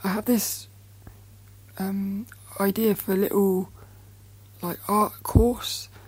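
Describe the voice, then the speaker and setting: Somewhat breathy delivery in a nervous tone. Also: woman. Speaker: podcast host, artist. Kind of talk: solo podcast monologue, casual. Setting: recording in bed. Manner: nervous, chatty, halting.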